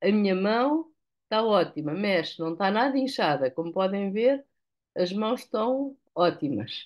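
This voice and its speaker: In a European Portuguese accent, a woman at a medium pitch talks at a fairly slow pace with very wide pitch swings against a quiet background. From Portugal. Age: 70s. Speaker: product user giving testimonial. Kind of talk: testimony. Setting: video call, live. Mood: relieved, grateful. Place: home room. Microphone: video call.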